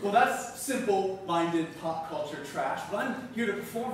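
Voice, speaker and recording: A man's high-pitched voice amid strong room echo and light background noise. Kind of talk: theatrical scene dialogue. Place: stage.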